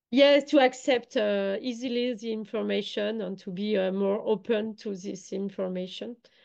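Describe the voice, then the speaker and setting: A woman with a French accent speaks with big swings in loudness. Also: ordinary pitch variation, moderate pace, hardly any pauses. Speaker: online summit organizer. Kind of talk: online interview. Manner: halting, many hesitations.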